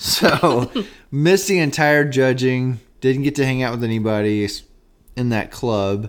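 A man with a normal speaking voice talks fairly slowly at a medium pitch with ordinary pitch variation. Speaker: radio DJ and podcast co-host. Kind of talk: casual chat. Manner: joking, banter.

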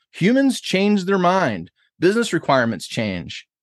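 A man with an American accent and very wide pitch swings, dry and close with no echo, over a quiet background. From Buffalo, New York. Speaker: author and agile consultant. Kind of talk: interview.

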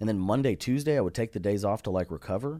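A man with a Texas accent, a dark, mellow tone and lively intonation, on a very clean recording with a silent background. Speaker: comedian. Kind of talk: casual chat. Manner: animated.

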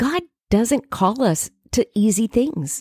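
In a dry, close, echo-free recording that is very clean with a silent background, a woman with a dark, mellow tone talks very slowly while her pitch swings very widely. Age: 50s. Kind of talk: devotional talk.

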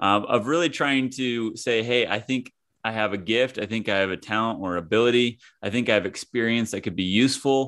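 With a plain, everyday voice, a man of medium pitch talks at a fairly quick pace with ordinary pitch variation against a quiet background. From US Midwest, small-town Kansas. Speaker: former pro golfer turned author and coach. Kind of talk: casual interview.

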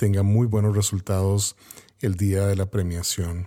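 A man's fairly low, dark, mellow voice comes across on a very clean recording with a silent background. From Costa Rica. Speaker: podcast host and photographer. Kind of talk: interview.

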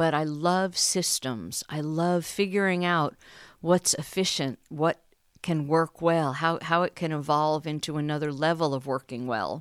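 A woman with a very deep, low pitch, fairly slow pace and fairly even intonation, in a very clean recording with a silent background. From New York City. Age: 60s. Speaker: stay-at-home mom. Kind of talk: casual interview.

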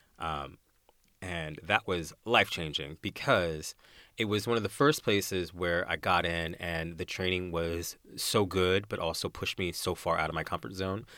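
Very deep and low in pitch, a man's bright, sharp voice moves with ordinary pitch variation on a very clean recording with a silent background. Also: moderate pace. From US, Arizona. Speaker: musical theatre performer. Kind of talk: interview. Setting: studio.

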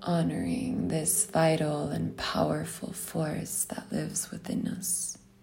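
Over music in the background, a woman with a gentle, calm tone speaks at a very slow pace with hardly any pauses. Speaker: meditation guide. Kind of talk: guided meditation. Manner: slow, calm, soothing; gentle, soft-spoken.

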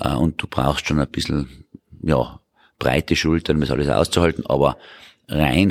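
A man's very deep, low voice with vocal fry, moderate pace and fairly even intonation, dry and close with no echo on a very clean recording with a silent background. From Tyrol, Austria. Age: 50s. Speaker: politician, member of parliament. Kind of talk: interview answers.

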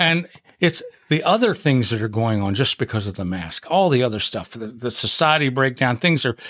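The man's voice sits at a medium pitch with a fairly bright tone. His intonation is lively and his pace moderate.

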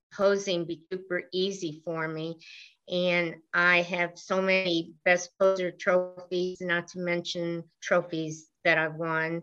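At a fairly slow pace, this bright, sharp-toned voice stays monotone with flat intonation. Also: woman. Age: 70s. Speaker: bodybuilding competitor and judge. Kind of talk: interview, conversational.

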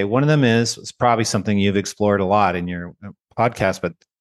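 A man's normal speaking voice, fairly quick in pace with ordinary pitch variation, over a quiet background. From Canada. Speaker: education researcher and author. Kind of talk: interview conversation.

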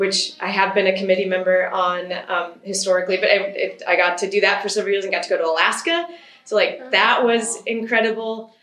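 With an American accent, a woman talks at a fairly quick pace and ordinary pitch variation, over noticeable background noise and audible room echo. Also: medium pitch for a woman. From Michigan. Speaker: riding instructor. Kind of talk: interview.

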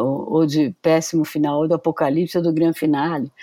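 In a very clean recording with a silent background, a woman speaks at a moderate pace with a dark, mellow tone and a very deep, low pitch. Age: 70s. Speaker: professor. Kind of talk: casual interview.

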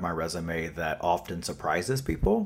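A man speaks with a Southern US accent. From North Carolina, US South. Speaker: author and activist. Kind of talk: interview answers. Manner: informal, conversational with fillers.

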